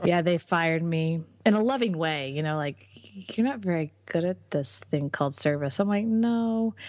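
A woman with a normal speaking voice talks at a moderate pace and a fairly low pitch. Her intonation is lively, with hardly any pauses. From Texas. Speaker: entrepreneur and business coach. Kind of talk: interview.

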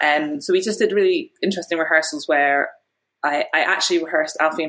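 Speaking at a very fast pace, a woman talks with an Edinburgh accent. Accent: Scottish (Edinburgh). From Scotland, Edinburgh. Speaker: film director. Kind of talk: interview.

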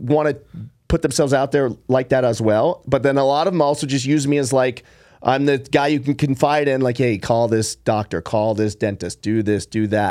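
Fairly quick and fairly high-pitched, a man talks in a plain, everyday voice with ordinary pitch variation, recorded very cleanly over a silent background. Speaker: podcast host and entrepreneur. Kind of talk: casual chat.

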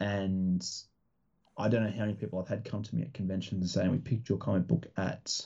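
Lively intonation and vocal fry in an Australian accent at a moderate pace. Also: man. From Australia, rural Victoria. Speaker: comic book creator and publisher. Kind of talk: casual interview chat. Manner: hesitant, many fillers.

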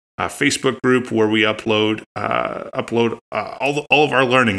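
Speaking at a fairly low pitch with fairly even intonation, a man has a bright, sharp tone marked by vocal fry. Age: 30s. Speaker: aspiring energy advisor, podcast co-host. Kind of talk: casual chat. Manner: halting.

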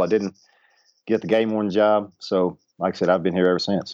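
With a Southern US accent, a man speaks at a very fast pace in a fairly low pitch and monotone, flat intonation. The sound is dry and close with no echo, over a quiet background. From Arkansas. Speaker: baseball coach. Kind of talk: interview.

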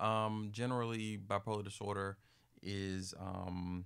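With an American accent, a man speaks at a fairly low pitch in a monotone, flat intonation. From US, Maryland. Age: 30s. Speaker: mental health advocate and speaker. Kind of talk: interview.

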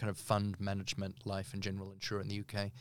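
A man talks with a New Zealand accent. The recording is very clean, with a silent background. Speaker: barrister. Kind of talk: interview. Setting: recording studio.

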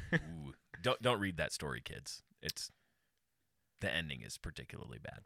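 A man speaks at a moderate pace with vocal fry and a very deep, low pitch, his pitch swinging very widely and his loudness rising and falling sharply, with long, frequent pauses in a dry, close sound with no echo. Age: 30s. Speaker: pastor. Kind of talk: casual chat.

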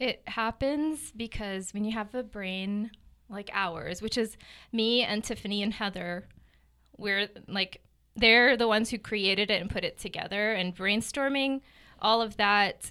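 Speaking with an American accent, a woman has an ordinary speaking voice at fairly high pitch, with ordinary pitch variation and a fairly slow pace. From New Jersey and Gaza City, Palestine. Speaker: real estate agent. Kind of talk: interview.

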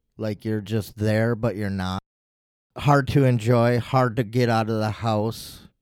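Speaking fairly slowly, a man uses an ordinary speaking voice at medium pitch with fairly even intonation. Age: 40s. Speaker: interviewee sharing mental health story. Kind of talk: personal testimony interview. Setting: studio.

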